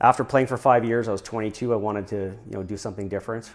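In a Canadian accent, a man with a plain, everyday voice speaks at a fairly low pitch with fairly even intonation, on a very clean recording with a silent background. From Saskatchewan, Canadian Prairies. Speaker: hotel developer and entrepreneur. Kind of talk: interview.

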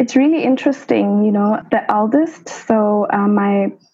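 In a Lesotho accent, a woman speaks at a fairly slow pace and a medium pitch. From South Africa, Soweto (Johannesburg). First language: Sesotho. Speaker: medical doctor. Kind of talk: interview.

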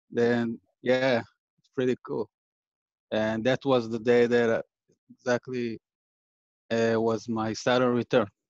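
The man's pitch sits at a medium level, and he talks at a fairly slow pace with long, frequent pauses. His intonation is monotone and flat, his loudness swings widely, and the sound is dry and close with no echo. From Israel. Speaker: audience member asking a question. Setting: online call, unmuted.

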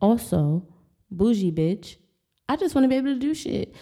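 A woman's voice has a dark, mellow tone. She moves at a moderate pace with very wide pitch swings. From US, Maryland. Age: 20s. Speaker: podcast host. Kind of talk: casual monologue.

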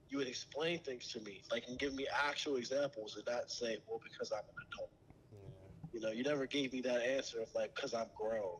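Fairly quick and with hardly any pauses, a man speaks in an unremarkable speaking voice at a medium pitch with ordinary pitch variation. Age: young. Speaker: young guest speaking for his generation. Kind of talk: casual chat.

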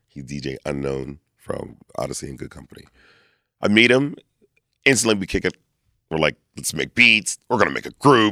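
Over a dry, close sound with no echo, a man with an American accent speaks at a moderate pace in a fairly low, bright, sharp voice with vocal fry, very wide pitch swings, big swings in loudness, and long, frequent pauses. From Lancaster, Pennsylvania. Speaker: performer and event host. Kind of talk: casual interview. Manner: animated.

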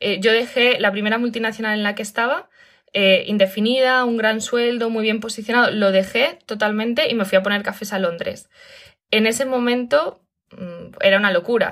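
A woman with a Castilian accent speaks at a fairly high pitch with fairly even intonation and a moderate pace, on a very clean recording with a silent background. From Spain. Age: 30s. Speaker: digital nomad and online school founder. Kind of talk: interview.

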